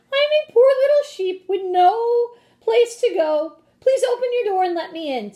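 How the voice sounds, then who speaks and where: A woman performs a put-on character voice at an extremely high pitch and a moderate pace. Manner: sweet, feigning innocence.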